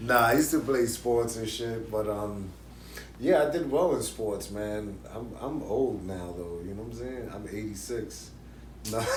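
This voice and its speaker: A man with a fairly low pitch talks at a fairly slow pace, with ordinary pitch variation and big swings in loudness. Audible room echo is present. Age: 40s. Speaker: YouTube interview show host. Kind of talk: casual interview chat. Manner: animated.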